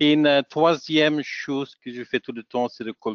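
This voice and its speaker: A man talks with a Dutch accent. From Flanders, Belgium (Antwerp). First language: Dutch (speaking French). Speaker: software technical specialist and trainer. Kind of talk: webinar presentation. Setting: online webinar. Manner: halting, many hesitations.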